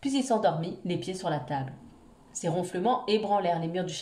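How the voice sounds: With ordinary pitch variation, the speaker reads in a natural reading voice.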